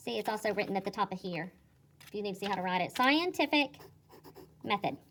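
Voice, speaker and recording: A woman at a very fast pace and medium pitch, with lively intonation and big swings in loudness. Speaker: second grade teacher. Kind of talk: tutorial. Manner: animated.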